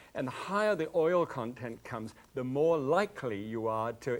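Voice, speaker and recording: In a British accent, a man speaks at a moderate pace. His medium pitch carries lively intonation. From Scotland. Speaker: TV cooking show host. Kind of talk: cooking demonstration. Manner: halting, with many fillers.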